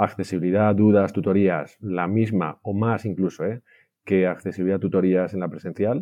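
A man talks with a normal speaking voice at a fairly low pitch. His pace is moderate and his intonation fairly even. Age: 40s. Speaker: IT director. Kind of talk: interview.

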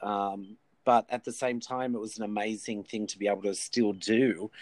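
Fairly low-pitched man with an Australian accent, fairly even intonation and a moderate pace. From Australia, New South Wales (Wollongong). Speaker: artist, actor and musician. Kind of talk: casual interview chat. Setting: remote call from a shed.

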